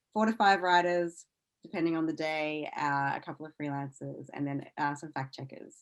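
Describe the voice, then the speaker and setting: Speaking at a moderate pace, a woman with an Australian accent uses a very deep, low pitch, with ordinary pitch variation and big swings in loudness. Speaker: science news executive and former science journalist. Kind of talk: podcast interview.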